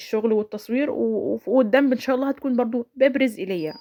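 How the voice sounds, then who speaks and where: This woman speaks at a fairly quick pace. The sound is dry and close, with no echo. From Egypt, Sharqia governorate. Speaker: home vlogger, mother. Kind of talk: voiceover narration of a daily-routine vlog. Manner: casual, chatty, with frequent self-corrections.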